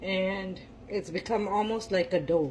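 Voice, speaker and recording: Her voice is somewhat breathy, a woman speaking. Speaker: home cook. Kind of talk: cooking tutorial. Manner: casual, hesitant with fillers.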